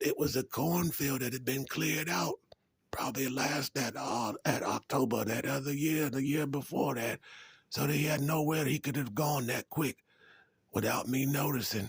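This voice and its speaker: A raspy, put-on character voice from a man at medium pitch and moderate pace. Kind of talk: folksy storytelling. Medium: comedy sketch. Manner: rambling, hesitant, with many fillers.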